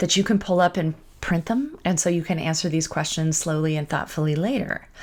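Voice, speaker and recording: A woman speaks at a fairly quick pace with fairly low pitch. Her pitch variation is ordinary. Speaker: life coach. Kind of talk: online training talk. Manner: fast.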